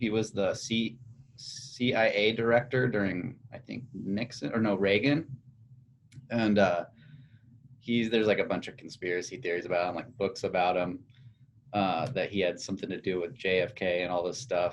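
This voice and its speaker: Speaking in a General American accent with an unremarkable speaking voice, a man talks at a moderate pace, fairly low in pitch with ordinary pitch variation. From United States. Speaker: podcast host. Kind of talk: casual chat.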